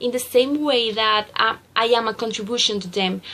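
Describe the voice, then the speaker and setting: A woman in a Spanish accent, fairly high in pitch, at a fairly slow pace. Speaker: student teacher. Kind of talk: reflective journal reading. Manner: halting.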